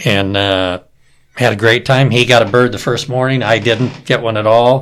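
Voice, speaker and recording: A man's normal speaking voice at a medium pitch, with fairly even intonation, in a very clean recording with a silent background. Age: 60s. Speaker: turkey hunter. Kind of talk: casual chat.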